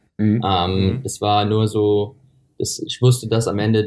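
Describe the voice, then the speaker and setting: This man's voice sits fairly low. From USA. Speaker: middle-distance runner. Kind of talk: interview. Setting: remote call from a hotel. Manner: halting.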